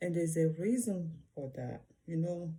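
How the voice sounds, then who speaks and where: With an African accent, a woman speaks in a fairly low, somewhat breathy voice of dark, mellow tone, keeping her intonation fairly even. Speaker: vlogger. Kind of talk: reaction video monologue. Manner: halting.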